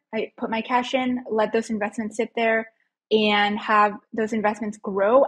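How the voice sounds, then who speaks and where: A woman's somewhat breathy, monotone, flat delivery against a quiet background. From Mexico, moved to US as a child. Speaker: financial educator. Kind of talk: casual interview chat. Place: home room. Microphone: earbuds.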